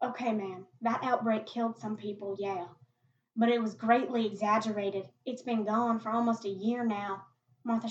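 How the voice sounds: A quiet background lies behind this speech. It is a natural reading voice.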